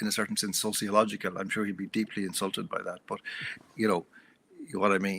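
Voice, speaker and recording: With an Irish accent, a man speaks very fast at a fairly low pitch with fairly even intonation and a bright, sharp tone, on a very clean recording with a silent background. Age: 70s. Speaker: author and journalist. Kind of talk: interview conversation.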